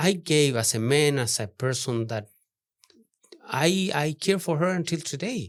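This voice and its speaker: Speaking at a fairly slow pace with a non-native accent, a man uses a fairly high pitch and very wide pitch swings. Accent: heavy non-native. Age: 60s. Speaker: artist. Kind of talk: podcast interview. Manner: halting.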